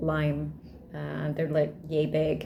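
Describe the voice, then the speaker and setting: A woman speaks at a fairly slow pace. Audible room echo is present. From Malaysia. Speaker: vlogger. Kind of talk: casual vlog talk.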